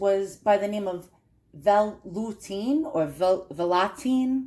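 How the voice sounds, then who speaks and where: With lively intonation, a woman speaks in a strong New York accent. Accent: heavy New York. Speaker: collector presenting perfume bottles. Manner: casual, chatty.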